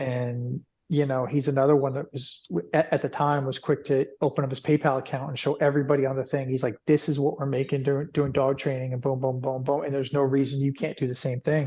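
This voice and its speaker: Music plays in the background as a man with an American accent talks at a very fast pace. His fairly high voice stays monotone, with flat intonation. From New York. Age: 40s. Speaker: dog trainer and business owner. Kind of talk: podcast interview. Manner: repetitive, halting with restarts.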